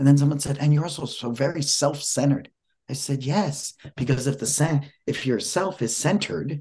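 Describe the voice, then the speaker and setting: At a moderate pace, a man with a fairly high pitch and a dark, mellow tone sounds somewhat breathy, his pitch varying in an ordinary way. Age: 60s. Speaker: motivational speaker and author. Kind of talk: interview.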